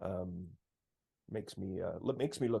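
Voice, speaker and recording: The pitch of this man's voice varies in an ordinary way. He keeps to a moderate pace. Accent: Canadian. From Sault Ste. Marie, Northern Ontario, Canada. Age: 60s. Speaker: singer-songwriter. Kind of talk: interview. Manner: halting.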